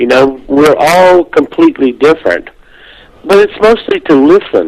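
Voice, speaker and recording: Speaking with an American accent, the voice keeps a moderate pace and very even loudness. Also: man. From US South, South Carolina. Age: 60s. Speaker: near-death experience author and speaker. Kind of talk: interview.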